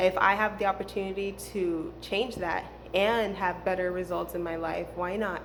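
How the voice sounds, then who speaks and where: A woman speaks at a fairly slow pace with a medium pitch, and audible room echo surrounds her voice. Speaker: spiritual healing vlogger. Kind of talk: casual monologue. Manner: hesitant, many fillers.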